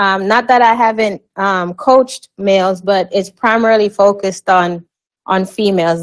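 With a Jamaican accent, a woman speaks at a fairly slow pace and a medium pitch. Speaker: life and wellness coach, retired army officer. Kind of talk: interview.

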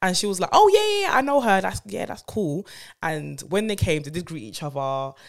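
With a London accent, a woman talks at a fairly quick pace. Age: 30s. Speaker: podcast co-host. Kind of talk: casual chat.

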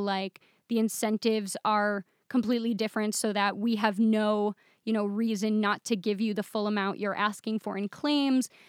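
Recorded very cleanly with a silent background, a woman talks in a fairly high voice. The sound is dry and close with no echo, and her pace is moderate. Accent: Midwestern American. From Michigan, US Midwest. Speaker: software developer. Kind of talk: casual interview.

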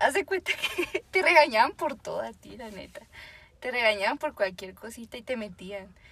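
At a moderate pace, a woman speaks in a high, bright, sharp voice with very wide pitch swings and big swings in loudness. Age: 20s. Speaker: medical student. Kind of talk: casual chat.

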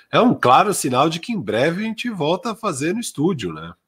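A man talks with vocal fry. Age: 30s. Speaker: basketball podcast co-host. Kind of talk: casual sports talk.

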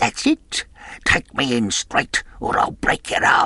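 Speaking rather slowly, the man adopts an invented character voice. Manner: sneering, menacing, threatening.

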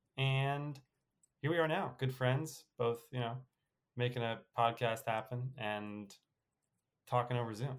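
A man's medium-pitched voice with an American accent, fairly slow and fairly even in intonation, with long, frequent pauses. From New York. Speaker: podcast co-host. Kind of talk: casual chat.

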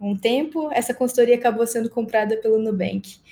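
Recorded very cleanly with a silent background, a woman speaks at a moderate pace in a dark, mellow, somewhat breathy tone with ordinary pitch variation. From Mato Grosso do Sul, Brazil. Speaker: agile specialist, production engineer. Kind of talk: casual interview conversation.

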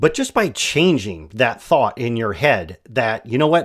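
A man talks with lively intonation and an American accent. The recording is very clean, with a silent background. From Michigan. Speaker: podcast host. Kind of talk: interview.

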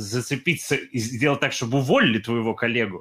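A man with an English accent speaks at a medium pitch and a moderate pace, with ordinary pitch variation. The recording is very clean, with a silent background. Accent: English-like intonation and stress in Russian. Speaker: podcast co-host, YouTuber. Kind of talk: casual chat.

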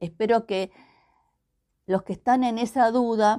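The recording is very clean, with a silent background. A woman speaks very slowly with fairly even intonation. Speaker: pastor. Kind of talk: devotional message. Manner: hesitant, repeats words.

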